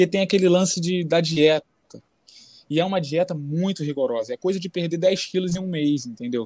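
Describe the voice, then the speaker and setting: Recorded with a dry, close sound and no echo, a man talks at a fairly quick pace in a high pitch with ordinary pitch variation. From Brazil. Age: 20s. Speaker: MMA fighter. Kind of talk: casual interview chat.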